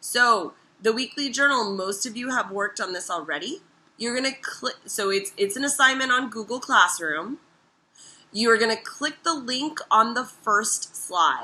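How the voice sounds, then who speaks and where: A woman talks at a moderate pace in a fairly high pitch with lively intonation. Her tone is bright and sharp, and the background is quiet. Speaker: teacher. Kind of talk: recorded lesson.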